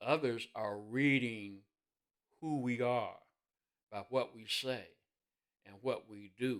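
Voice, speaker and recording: Speaking at a fairly slow pace, a man with an American accent uses a medium pitch with ordinary pitch variation. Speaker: minister. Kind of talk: sermon-style devotional talk.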